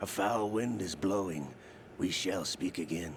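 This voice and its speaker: Using a put-on character voice, a man speaks at a moderate pace with a very deep, low pitch against clear background noise. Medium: video game. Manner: smooth, ironic.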